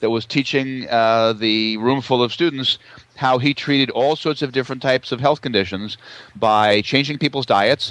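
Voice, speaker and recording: At a moderate pace and very even loudness, a man talks in a normal speaking voice of medium pitch with ordinary pitch variation. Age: 60s. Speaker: naturopath. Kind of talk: interview.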